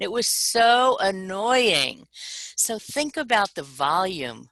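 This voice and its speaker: A woman with an American accent has a bright, sharp tone and lively intonation. The sound is dry and close, with no echo. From New York, Long Island. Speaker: leadership trainer, former teacher. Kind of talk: webinar presentation.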